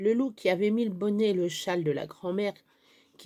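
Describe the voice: What is heard here is plain reading aloud.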